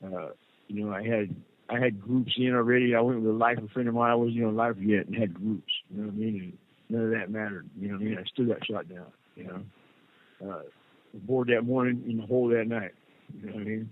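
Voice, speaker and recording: A man at a very fast pace, fairly even in intonation, with big swings in loudness. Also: medium pitch for a man. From California, Santa Cruz. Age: 60s. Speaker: prison inmate. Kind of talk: interview. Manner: halting.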